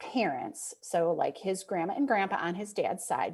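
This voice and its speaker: With a Midwestern accent, this woman speaks at a medium pitch. Her pitch swings very widely. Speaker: author and speaker. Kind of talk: podcast interview answer.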